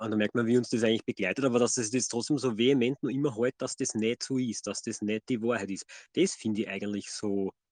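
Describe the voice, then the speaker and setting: Speech comes at a very fast pace with fairly even intonation and a dry, close sound with no echo. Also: man, medium pitch for a man. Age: 30s. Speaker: podcast co-host. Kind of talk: casual chat.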